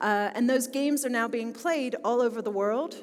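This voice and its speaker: A woman with a Philadelphia accent, fairly high in pitch, at a moderate pace, with audible room echo. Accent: American, Philadelphia. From US, Philadelphia. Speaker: business school technology executive. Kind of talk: conference talk.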